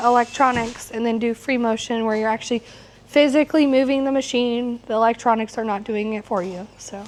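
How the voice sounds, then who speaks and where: The voice belongs to a woman. Behind her, background noise is noticeable. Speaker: quilting instructor. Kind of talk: live class demonstration. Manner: casual, with fillers.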